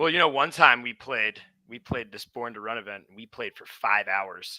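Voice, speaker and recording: A man's bright, sharp voice with an American accent and big swings in loudness. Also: medium pitch for a man, ordinary pitch variation, moderate pace, dry, close sound with no echo. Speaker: rock band musician. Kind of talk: casual interview chat. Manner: casual, filler-heavy.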